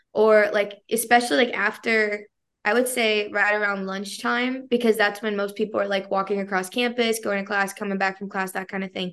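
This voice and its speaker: With hardly any pauses, a woman talks at a fairly quick pace in a normal speaking voice, keeping a medium pitch and fairly even intonation. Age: 20s. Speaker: seminary student and former student newspaper editor. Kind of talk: interview. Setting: video call.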